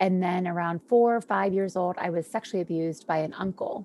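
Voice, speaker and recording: A woman of medium pitch talks at a moderate pace with a dark, mellow tone and fairly even intonation. The sound is dry and close with no echo, on a very clean recording with a silent background. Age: 40s. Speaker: wellness speaker. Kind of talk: testimony.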